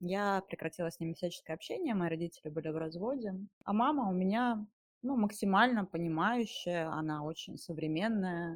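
Fairly quick speech from a woman with an unremarkable speaking voice, fairly low pitch and ordinary pitch variation, over a quiet background in a dry, close sound with no echo. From Siberia, Russia (Mezhdurechensk). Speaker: webcam studio owner. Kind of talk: first-person storytelling.

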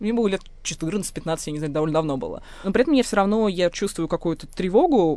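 The tone is dark and mellow, with lively intonation. The delivery moves at a fairly quick pace. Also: woman. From Moscow. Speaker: linguist and writer. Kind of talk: personal testimony.

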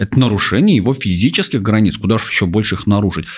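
A man with a normal speaking voice talks at a fairly low pitch with ordinary pitch variation. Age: 30s. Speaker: psychologist and sexologist. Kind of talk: casual chat.

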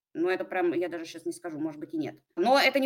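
Her pitch swings very widely as a woman speaks at a very fast pace. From Russia, Pskov. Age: 30s. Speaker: online marketplace seller with own production. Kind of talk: business consultation interview.

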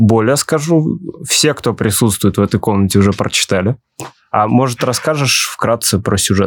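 With an unremarkable speaking voice, a man talks at a moderate pace at a medium pitch, his intonation lively and his loudness very even. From Ulyanovsk, Russia. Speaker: podcast host. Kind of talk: casual interview conversation.

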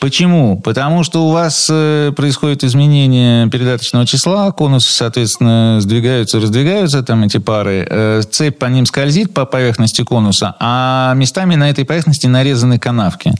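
At a moderate pace and with hardly any pauses, a man speaks in a medium pitch with ordinary pitch variation and very even loudness, a plain, everyday voice. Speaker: automotive product training director. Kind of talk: radio talk show interview. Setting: radio studio.

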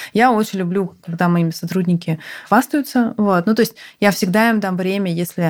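An ordinary speaking voice from a woman, medium in pitch with ordinary pitch variation and a fairly quick pace. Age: 30s. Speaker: healthcare company CEO. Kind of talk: interview conversation.

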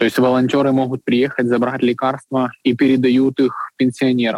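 In a dry, close recording with no echo, a man talks at a moderate pace and medium pitch with monotone, flat intonation. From Ukraine, Kyiv. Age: 20s. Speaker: coffee shop owner. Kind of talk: interview.

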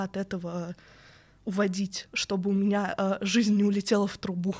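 At a moderate pace, a woman with a normal speaking voice and medium pitch keeps fairly even intonation in a very clean recording with a silent background. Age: 20s. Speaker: narrative game designer. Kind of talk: casual interview. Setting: studio.

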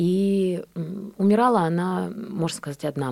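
Pitch variation here is ordinary. The speaker is a woman. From Belarus, Borisov. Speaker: actress. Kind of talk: radio interview. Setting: radio studio.

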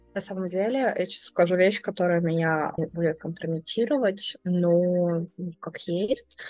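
A woman at a medium pitch speaks at a fairly slow pace with ordinary pitch variation. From Belgorod, Russia. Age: 30s. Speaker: historian. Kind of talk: personal testimony interview.

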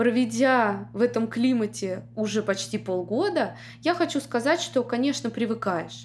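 A woman at a fairly slow pace with very even loudness. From Russia, Moscow. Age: 30s. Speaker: podcast host, immigrant mother. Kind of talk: solo podcast monologue.

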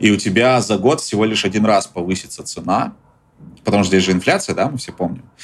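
This man has an unremarkable speaking voice, fairly low in pitch, and talks at a fairly quick pace. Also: ordinary pitch variation. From Russia. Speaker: journalist and tour business owner. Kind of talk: interview.

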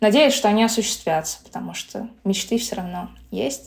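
A woman speaks at a moderate pace in an ordinary speaking voice. Her pitch is medium. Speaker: blogger. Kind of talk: interview.

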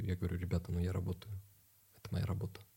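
A man speaks with a very deep, low pitch and a dark, mellow tone that is somewhat breathy. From Ukraine, Kharkiv. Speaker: ballet dancer and film actor. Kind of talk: casual chat.

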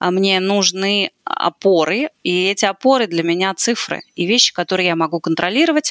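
In a plain, everyday voice, a woman speaks at a medium pitch with lively intonation, the sound dry and close with no echo. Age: 40s. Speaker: sales department consultant, author. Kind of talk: podcast interview.

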